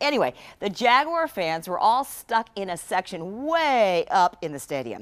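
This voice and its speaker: A woman speaks at a moderate pace with vocal fry and very wide pitch swings. The recording is very clean, with a silent background. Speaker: TV news reporter. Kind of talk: TV news anchor talk.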